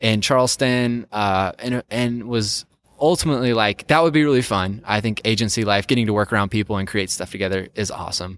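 A man with a normal speaking voice and medium pitch talks at a fairly quick pace with hardly any pauses and ordinary pitch variation, in a very clean recording that has a silent background and a dry, close sound with no echo. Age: 20s. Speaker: type designer and board game publisher. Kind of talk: casual interview chat.

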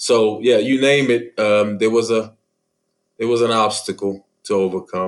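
Fairly slow and with a medium pitch, a man with an American accent speaks in a plain, everyday voice, his intonation fairly even and his loudness very even. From Philadelphia, US. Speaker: peer recovery specialist. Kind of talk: interview.

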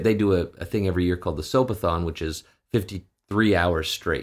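A man with a Canadian accent talks at a fairly quick pace, with ordinary pitch variation and a plain, everyday voice. The recording is very clean, with a silent background. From western Canada (Saskatchewan). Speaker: actor and voice director. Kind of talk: casual interview chat.

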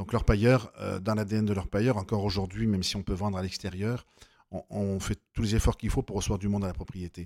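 The speech comes at a fairly quick pace in a monotone, flat delivery. The sound is dry and close with no echo, on a very clean recording with a silent background. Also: man, fairly low pitch for a man. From southern France, near Nîmes. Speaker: winery co-owner. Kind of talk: interview. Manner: halting.

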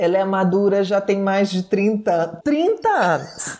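A woman speaks over noticeable background noise. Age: 40s. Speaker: TV presenter. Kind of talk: casual chat.

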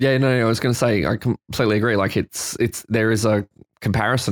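In a dry, close recording with no echo, a man with an Australian accent talks in a fairly low pitch with fairly even intonation. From Queensland, Australia. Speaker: photographer and retoucher. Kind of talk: casual chat.

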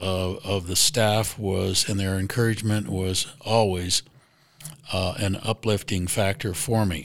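A man speaks at a very slow pace. His intonation stays fairly even. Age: 70s. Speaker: client sharing testimonial. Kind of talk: testimonial. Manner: halting, with fillers.

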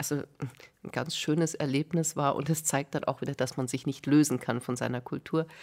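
A woman with a very deep, low voice speaks at a moderate pace and with fairly even intonation in a very clean recording with a silent background. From Bavaria. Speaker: music journalist, cultural scientist. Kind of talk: radio interview. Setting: radio studio.

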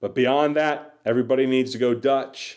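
A man is heard in a very clean recording, silent background behind him. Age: 40s. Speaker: podcast host. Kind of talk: solo podcast monologue. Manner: casual with frequent filler words.

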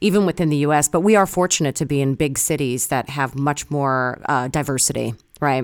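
Fairly quickly, a woman talks in a very deep, low pitch. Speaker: podcast host. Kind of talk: interview.

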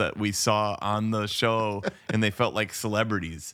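A man with a fairly low pitch at a fairly slow pace. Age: 40s. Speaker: podcast co-host. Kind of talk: casual chat. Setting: remote recording.

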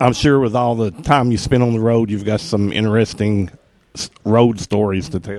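In an ordinary speaking voice, this man keeps a moderate pace. He sits at a medium pitch that rises and falls by an ordinary amount. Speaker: interviewer and concert reviewer. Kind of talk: interview questions. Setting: club in Nashville.

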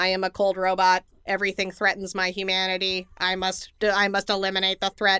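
In a put-on character voice, a woman speaks at medium pitch and a moderate pace, flat and monotone with hardly any pauses, on a very clean recording with a silent background.

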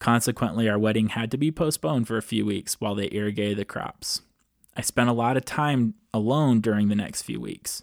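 The voice is an ordinary speaking voice with ordinary pitch variation. The recording is very clean, with a silent background. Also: man, medium pitch for a man. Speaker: podcast host. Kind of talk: podcast monologue, partly reading grandma's memoir aloud. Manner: conversational, friendly.

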